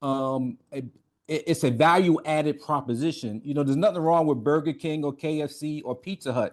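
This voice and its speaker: Against a quiet background, a man with an American accent and fairly high pitch talks at a moderate pace with ordinary pitch variation. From New York, Brooklyn (East Flatbush). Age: 50s. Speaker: navy veteran, author. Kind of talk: interview.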